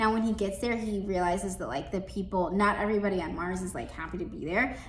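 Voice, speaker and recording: A woman at a fairly quick pace and medium pitch, with audible room echo. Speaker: librarian. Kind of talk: book recommendations. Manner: fast; casual, filler-heavy.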